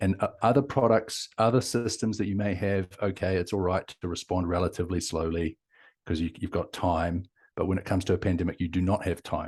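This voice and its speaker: Against a quiet background, a man with a New Zealand accent talks fairly quickly in a very deep, low voice with fairly even intonation. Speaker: company founder and CEO. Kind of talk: interview.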